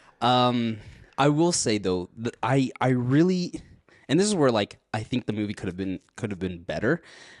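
A man speaks at a moderate pace and medium pitch, his voice swinging very widely in pitch, with a dry, close sound, no echo, and a quiet background. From Mexico. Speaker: podcast co-host. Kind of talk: casual chat. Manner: animated.

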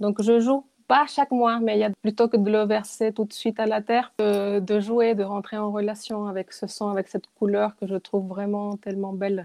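Against a quiet background, a woman at medium pitch speaks at a moderate pace with hardly any pauses and fairly even intonation in a dark, mellow tone, with a dry, close sound and no echo. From Chile. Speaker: dance therapist and yoga teacher. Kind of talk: interview testimony. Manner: halting, many repetitions.

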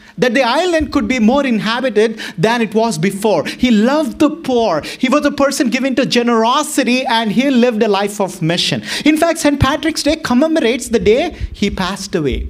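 With an American accent and an animated tone, the speaker goes on with hardly any pauses over noticeable background noise. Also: moderate pace. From Boston. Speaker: pastor. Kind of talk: sermon. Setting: church.

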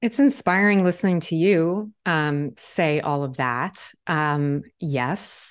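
Against a quiet background, a woman with a fairly low pitch and lively intonation speaks at a very slow pace with hardly any pauses. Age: 40s. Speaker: podcast host, tarot reader. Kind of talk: casual interview. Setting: video call. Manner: animated.

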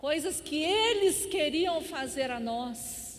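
The woman's intonation is lively while her pace stays very slow. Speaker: pastor. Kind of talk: sermon.

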